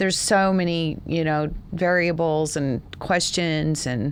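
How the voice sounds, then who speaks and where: In a Texas accent, a woman with a fairly low pitch speaks with fairly even intonation. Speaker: podcast host and founder. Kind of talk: casual podcast chat.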